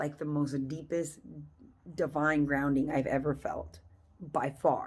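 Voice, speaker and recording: Speaking at a fairly slow pace, a woman uses a very deep, low pitch and an animated tone. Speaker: reiki energy healer. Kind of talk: energy healing session debrief. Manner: animated, hesitant with fillers.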